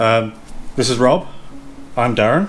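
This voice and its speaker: A man with an East Midlands accent at a medium pitch and fairly quick pace, music in the background. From English East Midlands, Derbyshire. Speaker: YouTube vlogger. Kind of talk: casual Q&A chat.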